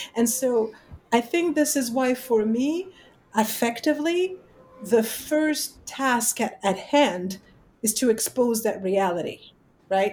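A woman with a French accent speaks very slowly, leaving long, frequent pauses. Her high pitch moves in lively intonation. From France. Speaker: literature professor. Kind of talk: academic interview.

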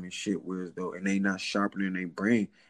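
The speaker is a man with a fairly low pitch. His sound is dry and close, with no echo. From West Philadelphia. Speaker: fitness trainer, formerly incarcerated. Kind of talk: casual interview. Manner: halting, repetitive.

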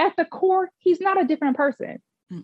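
Somewhat breathy, the voice rushes along at a very fast pace. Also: woman. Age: 30s. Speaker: host's cousin, hosts own story segment. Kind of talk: casual chat.

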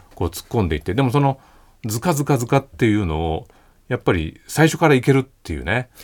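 In a dry, close sound with no echo, a man talks at a very fast pace with vocal fry and very wide pitch swings. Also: medium pitch for a man. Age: 40s. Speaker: writer and radio host. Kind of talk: casual chat. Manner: measured, articulate.

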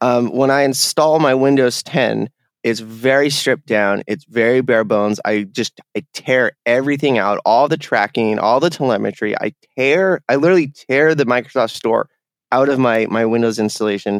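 A man talks at a moderate pace and a medium pitch, with ordinary pitch variation. His loudness stays very even, and the sound is dry and close with no echo. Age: 30s. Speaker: video game podcast guest. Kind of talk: casual chat. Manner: halting, many fillers and repeats.

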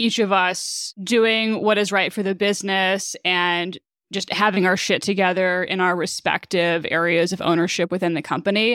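Delivered at a fairly slow pace, a normal speaking voice comes through in a very clean recording with a silent background. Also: woman. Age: 30s. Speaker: startup co-founder and CTO. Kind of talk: interview.

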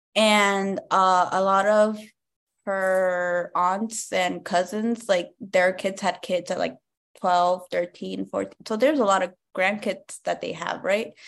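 A woman with an American accent talks at a very slow pace, her pitch medium. Her intonation stays fairly even over a quiet background. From Compton, California. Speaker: stand-up comedian. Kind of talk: casual interview chat.

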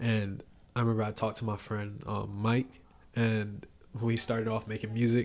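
Monotone, flat speech from a man with an American accent, at medium pitch and a moderate pace. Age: 20s. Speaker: musician. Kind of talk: casual chat.

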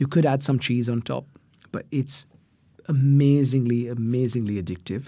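At a moderate pace and medium pitch, a man speaks with fairly even intonation and a dark, mellow tone. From India. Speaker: chef and cookbook author. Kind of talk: casual interview giving cooking tips.

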